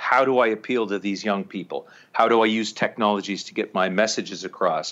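With a Canadian accent, a man speaks fairly quickly in a medium pitch and a bright, sharp tone against a quiet background. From small-town Ontario, Canada. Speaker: documentary filmmaker. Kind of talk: casual interview.

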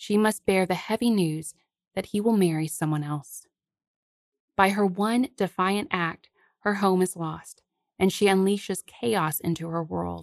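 At a fairly slow pace, a woman uses a normal speaking voice at medium pitch with ordinary pitch variation, the sound dry and close with no echo over a quiet background. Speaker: podcast host. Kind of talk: scripted narration of a fairy tale, with literary commentary.

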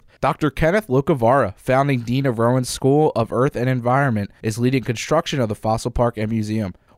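A man talks at a fairly quick pace and medium pitch with hardly any pauses, very even loudness and ordinary pitch variation, in a normal speaking voice. The sound is dry and close with no echo, on a very clean recording with a silent background. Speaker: student radio news reporter. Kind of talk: newsreading, steady scripted delivery of campus news. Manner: formal, measured.

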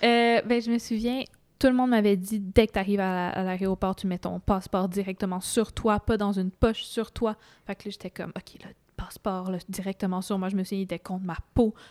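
A voice with a Quebec accent at a moderate pace, fairly even intonation and big swings in loudness, on a very clean recording with a silent background and a dry, close sound with no echo. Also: woman, medium pitch for a woman. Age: young. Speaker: student. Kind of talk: casual chat.

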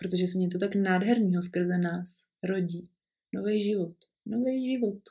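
Medium in pitch and somewhat breathy, a woman speaks at a moderate pace with very even loudness, a dark, mellow tone and fairly even intonation. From Prague, Czechia. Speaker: podcaster, mother. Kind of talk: personal storytelling monologue.

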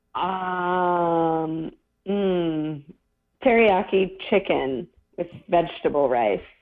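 Speaking at a very slow pace with long, frequent pauses, a woman uses a fairly low pitch. Her pitch varies in an ordinary way. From Kentucky, small town. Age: young. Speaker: actor. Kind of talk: casual chat.

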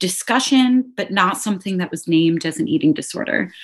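Against a quiet background, a woman with an American accent speaks with lively intonation. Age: 20s. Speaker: special education teacher. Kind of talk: interview testimony.

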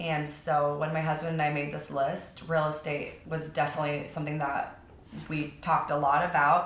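In an American accent, a woman speaks at a moderate pace with a very deep, low pitch and monotone, flat intonation, amid audible room echo and noticeable background noise. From Texas, outside Austin, then southern California from 12. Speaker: real estate agent. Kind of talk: casual interview.

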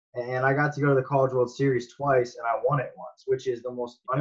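At a very fast pace, a man with an American accent speaks at a medium pitch, somewhat breathy and monotone, flat in intonation. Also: hardly any pauses. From Las Vegas, Nevada, US. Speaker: professional baseball player. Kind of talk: casual interview.

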